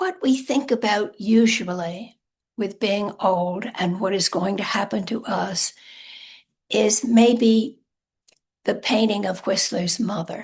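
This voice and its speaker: Her voice is somewhat breathy, with a medium pitch. The woman speaks at a very slow pace with fairly even intonation. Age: 80s+. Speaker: author. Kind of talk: talk.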